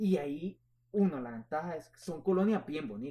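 A man with a plain, everyday voice, fairly high in pitch with ordinary pitch variation, at a moderate pace. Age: 20s. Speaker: real estate agent. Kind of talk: interview.

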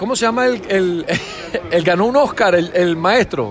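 Crowd noise fills the background as the speaker talks at a fairly slow pace. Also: man. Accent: Venezuelan. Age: 40s. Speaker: podcast co-host. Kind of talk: casual chat.

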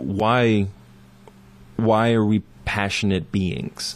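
A man speaks at a very slow pace. His pitch is fairly low. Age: 30s. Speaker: musician and writer. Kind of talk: casual chat. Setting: studio.

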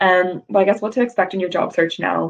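Her intonation fairly even, a woman speaks at medium pitch. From US South, Georgia. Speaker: recruitment executive. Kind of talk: career talk presentation. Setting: video call.

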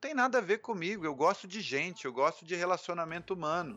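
Here a man with a high pitch speaks at a moderate pace, his intonation lively. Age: 30s. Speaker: beginning professional photographer. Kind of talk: casual interview chat.

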